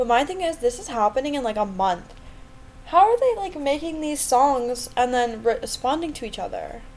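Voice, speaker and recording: A woman speaks at a moderate pace in a high voice, her pitch swinging very widely and her loudness rising and falling sharply, with noticeable noise in the background. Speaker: podcast co-host. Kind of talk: casual chat.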